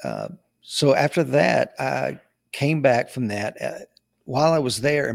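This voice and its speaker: Here a man talks with an East Tennessee accent. The sound is dry and close with no echo, in a very clean recording over a silent background. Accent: Southern US (East Tennessee). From East Tennessee (Knoxville). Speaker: Marine veteran and law enforcement trainer. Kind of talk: casual interview.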